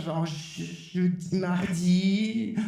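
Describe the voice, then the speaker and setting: A woman speaks with fairly even intonation amid noticeable background noise and audible room echo. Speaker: podcast host. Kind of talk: stand-up. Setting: stage with audience. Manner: loud.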